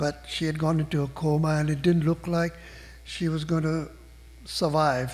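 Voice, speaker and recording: At a moderate pace, a man speaks in a fairly high pitch with monotone, flat intonation. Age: 70s. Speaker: invited speaker at a spiritual gathering. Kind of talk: personal storytelling talk. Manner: conversational with fillers.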